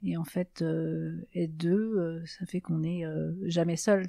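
A woman's fairly low, dark and mellow voice with fairly even intonation, in a dry, close sound with no echo and a quiet background. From Alsace, France (Mulhouse). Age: 60s. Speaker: bereaved twin sister. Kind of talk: testimony. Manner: hesitant, many fillers.

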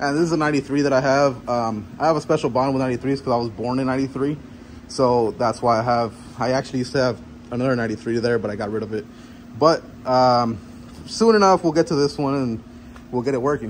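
A man's very fast speech over light background noise. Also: ordinary pitch variation. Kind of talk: casual vlog tour. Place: garage. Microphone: phone near.

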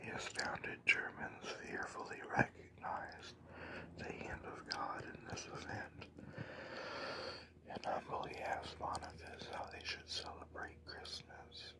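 Whispered speech comes through noticeable background noise. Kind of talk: ASMR whispered religious history talk.

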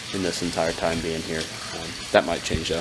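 There is noticeable background noise as a man delivers his words at a fairly quick pace. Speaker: vlogger. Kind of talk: casual vlog chat. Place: home room. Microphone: phone near.

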